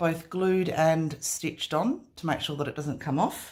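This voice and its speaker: A woman speaks at a fairly low pitch and a fairly slow pace, with ordinary pitch variation. The recording is very clean, with a silent background. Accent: Australian. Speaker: craft artist. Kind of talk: product showcase. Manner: casual with frequent fillers.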